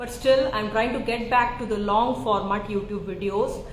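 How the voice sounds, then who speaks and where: A woman with an Indian accent speaks at a moderate pace with fairly even intonation, with audible room echo and noticeable background noise. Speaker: psychiatrist. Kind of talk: live Q&A chat. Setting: live social media stream.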